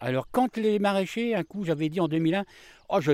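Recorded very cleanly with a silent background, a man speaks in a dry, close sound with no echo. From northern France, Amiens area (Picardy). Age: 50s. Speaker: market gardener. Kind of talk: interview. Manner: halting, many hesitations.

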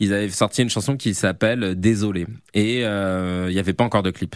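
In a very clean recording with a silent background, a man with a fairly low pitch talks at a fairly slow pace with fairly even intonation. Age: 30s. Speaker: comedian and video creator. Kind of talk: interview. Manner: hesitant, many fillers.

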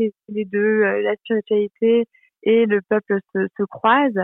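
This is a woman with a fairly high pitch. She talks at a fairly slow pace. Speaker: social media creator. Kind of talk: interview. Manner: hesitant, many fillers. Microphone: poor connection.

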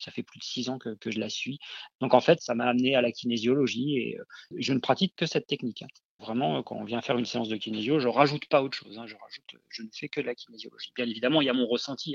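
Against a quiet background, a man speaks at a very fast pace and medium pitch. His intonation is fairly even, while his loudness swings a lot. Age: 40s. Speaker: kinesiologist. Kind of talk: interview. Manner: hesitant, many fillers.

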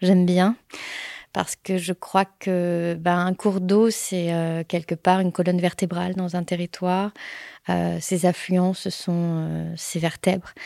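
A woman's fairly low, dark, mellow voice with monotone, flat intonation at a very slow pace, on a very clean recording with a silent background and a dry, close sound with no echo. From France, Paris suburbs and Pyrénées-Orientales. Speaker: hydrologist. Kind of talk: interview testimony. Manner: hesitant, many fillers.

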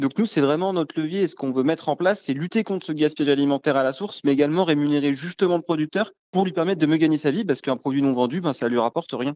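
A man at a very fast pace with hardly any pauses. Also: fairly high pitch for a man, ordinary pitch variation. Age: 20s. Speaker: startup co-founder. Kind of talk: interview. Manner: hesitant, filler words.

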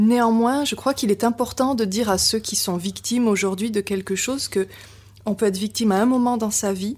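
There is a somewhat breathy quality to the woman's voice, and her intonation stays fairly even. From Biarritz, French Basque coast. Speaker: novelist. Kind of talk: interview. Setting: at the guest's home in Paris.

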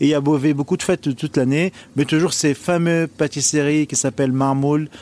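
With an Arabic accent, a man speaks at a moderate pace with fairly high pitch and fairly even intonation, in a dry, close sound with no echo. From Lebanon. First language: Arabic (speaking French). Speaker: chef. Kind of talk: interview.

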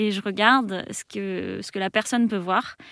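Very slowly and with fairly even intonation, a woman speaks at medium pitch, the sound dry and close with no echo on a very clean recording with a silent background. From France, Île-de-France (Melun). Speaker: game designer and event organizer. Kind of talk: radio interview. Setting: radio studio. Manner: hesitant, many fillers and repetitions.

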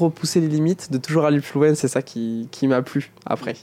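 A man speaks fairly slowly with a fairly high pitch and ordinary variation in his pitch. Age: 20s. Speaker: paralympic athlete. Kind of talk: interview. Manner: halting, frequent repetitions.

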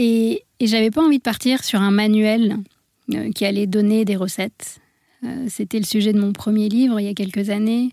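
Her voice fairly high yet dark and mellow in tone, a woman speaks with fairly even intonation. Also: moderate pace. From India (born in France). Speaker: medical doctor and wellness coach, author. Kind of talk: radio interview.

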